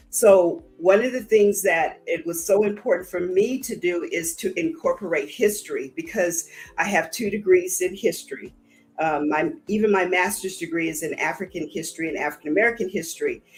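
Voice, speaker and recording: Music plays in the background. Over it, a woman speaks at a medium pitch with ordinary pitch variation. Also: moderate pace. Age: 60s. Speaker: counselor. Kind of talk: podcast interview.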